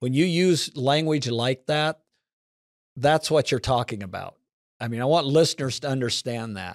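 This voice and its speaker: Someone with an American accent talks at a moderate pace with ordinary pitch variation. The sound is dry and close with no echo, on a very clean recording with a silent background. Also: man, medium pitch for a man. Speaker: podcast host. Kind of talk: casual interview.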